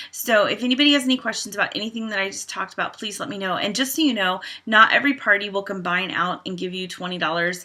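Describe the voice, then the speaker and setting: A woman talks at a very fast pace with hardly any pauses, her pitch medium and its variation ordinary. Her loudness swings widely against a quiet background. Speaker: direct sales team leader. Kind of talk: training tutorial. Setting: home. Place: home room. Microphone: webcam.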